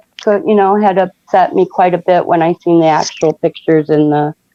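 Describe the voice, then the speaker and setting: A woman's unremarkable speaking voice at medium pitch with ordinary pitch variation, the sound dry and close with no echo. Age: 60s. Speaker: caller. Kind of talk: casual chat.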